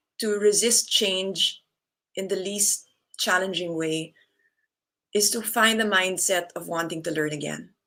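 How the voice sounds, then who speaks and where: A woman speaks in a bright, sharp tone with lively intonation. Her pace is fairly slow. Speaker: yoga and wellness speaker. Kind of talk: online talk with slides. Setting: live online event. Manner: deliberately softened tone.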